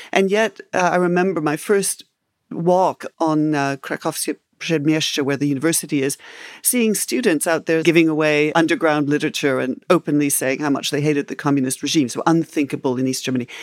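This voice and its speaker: A woman talks at a fairly quick pace in a very deep, low pitch. The sound is dry and close, with no echo. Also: ordinary pitch variation, very clean recording, silent background. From Canada and England. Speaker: historian. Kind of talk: interview.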